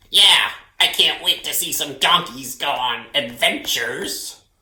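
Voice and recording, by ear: A man speaks in a bright, sharp tone with audible room echo.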